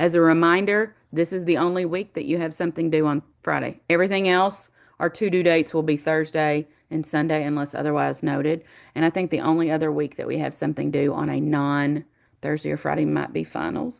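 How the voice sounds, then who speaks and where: This woman's voice sits at a very deep, low pitch. She speaks at a fairly quick pace with fairly even intonation. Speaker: college instructor. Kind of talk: online class welcome lecture. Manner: fast; casual, with many fillers.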